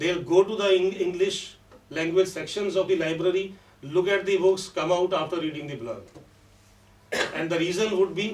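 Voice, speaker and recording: A man's high-pitched voice with a Punjabi accent, ordinary pitch variation, and a moderate pace, amid noticeable background noise and audible room echo. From Punjab, India. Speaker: professor of English. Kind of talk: conference talk.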